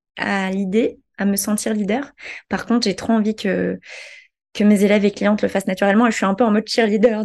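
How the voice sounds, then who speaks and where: Her voice sits fairly high for a woman. Nothing can be heard behind her. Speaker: digital marketing entrepreneur. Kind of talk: interview conversation.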